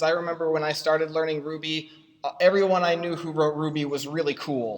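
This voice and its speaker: A man speaks at a fairly quick pace in a fairly high, monotone voice with flat intonation. Noticeable background noise runs under him. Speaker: software consultant and conference speaker. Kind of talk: conference talk. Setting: stage with audience and projector. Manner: fast; halting, many fillers.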